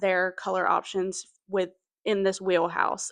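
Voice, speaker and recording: A woman with a slight Southern US accent speaks at a moderate pace. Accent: Southern US twang picked up, slight. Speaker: knitting video creator. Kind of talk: casual chat. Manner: chatty, lots of fillers.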